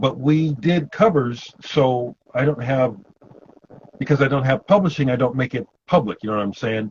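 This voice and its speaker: Speaking with an American accent, a man sounds somewhat breathy and uses ordinary pitch variation. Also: medium pitch for a man, moderate pace. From Omaha, Nebraska, US Midwest. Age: 60s. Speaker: punk musician. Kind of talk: interview.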